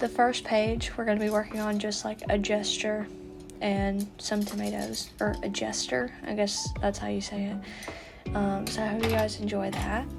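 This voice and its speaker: A woman's shaky voice at a moderate pace, with music in the background. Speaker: artist. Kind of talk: casual art voiceover. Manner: hesitant, shaky.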